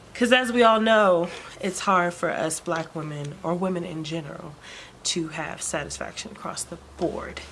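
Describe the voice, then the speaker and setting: A woman speaks softly at a moderate pace. Her pitch sits fairly low. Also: ordinary pitch variation, big swings in loudness. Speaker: vlogger. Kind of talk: personal vlog update. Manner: soft-spoken; hesitant, many fillers.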